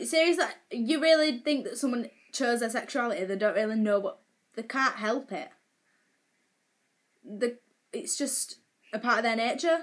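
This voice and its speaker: A high-pitched woman's voice with lively intonation, a moderate pace and long, frequent pauses. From northern England. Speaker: vlogger. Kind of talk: casual rant. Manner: animated.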